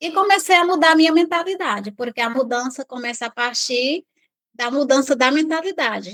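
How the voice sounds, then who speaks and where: The speaker is a woman with lively intonation. She talks at a fairly slow pace. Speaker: interview guest. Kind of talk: personal testimony. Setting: remote video call.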